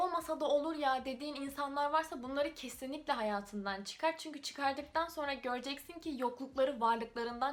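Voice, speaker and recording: Against noticeable background noise, a woman speaks at a high pitch and a fairly quick pace, with ordinary pitch variation. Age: 20s. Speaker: YouTuber. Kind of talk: casual talk to camera.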